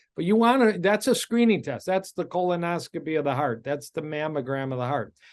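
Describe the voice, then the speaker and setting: With lively intonation and a fairly high pitch, a man talks at a fairly quick pace against a quiet background. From US Midwest, suburban Detroit, Michigan. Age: 60s. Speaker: cardiologist. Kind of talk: interview.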